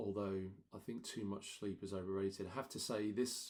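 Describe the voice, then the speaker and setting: This man talks at a moderate pace with a fairly low pitch. His tone is dark and mellow. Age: 40s. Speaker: vlogger and amateur runner. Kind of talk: casual vlog monologue. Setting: home. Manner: monotone.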